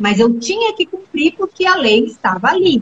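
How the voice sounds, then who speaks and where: This woman's pitch is extremely high. It swings very widely. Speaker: retired police chief and politician. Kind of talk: live-stream interview.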